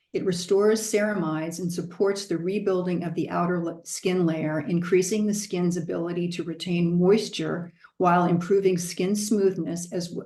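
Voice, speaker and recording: With an American accent, a woman speaks in an ordinary speaking voice at a moderate pace, fairly low in pitch with fairly even intonation. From Southern California. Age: 60s. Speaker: product presenter. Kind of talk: product presentation.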